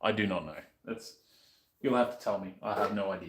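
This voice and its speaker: The pace of this man's speech is fairly quick. He has an Australian accent. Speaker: streamer doing motorcycle modding. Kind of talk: casual live-stream chat while working.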